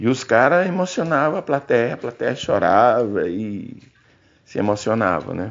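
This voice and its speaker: Fairly slow male speech full of very wide pitch swings. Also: medium pitch for a man. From Brazil, Tocantins (Gurupi). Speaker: singer-songwriter. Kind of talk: testimony. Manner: halting.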